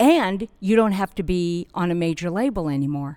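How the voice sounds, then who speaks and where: A woman with an American accent has an unremarkable speaking voice, fairly low in pitch with lively intonation. The recording is very clean, with a silent background. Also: dry, close sound with no echo. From California. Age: 60s. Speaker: public relations director. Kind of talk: interview.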